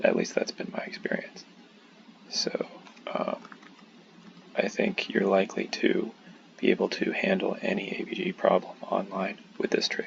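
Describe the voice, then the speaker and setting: Whispering at a moderate pace, with long, frequent pauses and noticeable background noise. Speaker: medical student. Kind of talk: tutorial. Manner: hushed, keeping voice down; halting, many fillers.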